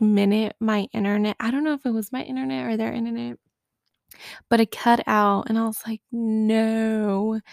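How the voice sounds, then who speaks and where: A woman with an American accent and an ordinary speaking voice talks at a moderate pace. Her pitch is fairly high with ordinary variation, on a very clean recording with a silent background. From United States. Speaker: podcaster and university student. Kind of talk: casual vlog monologue.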